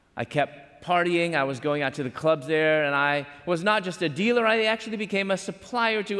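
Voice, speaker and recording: In an American accent, an ordinary speaking voice moves at a fairly quick pace with lively intonation and hardly any pauses. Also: man. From Chicago, US Midwest. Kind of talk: sermon. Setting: university chapel with live audience.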